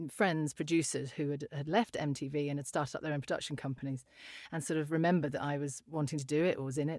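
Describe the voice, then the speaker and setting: In a very clean recording with a silent background, a woman speaks with a British accent. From UK. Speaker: voiceover artist. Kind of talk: casual interview.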